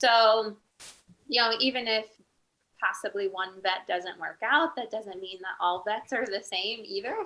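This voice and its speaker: Soft-spoken and fairly slow, a woman talks in a fairly high voice with ordinary pitch variation. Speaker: veterinarian. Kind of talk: panel interview answer.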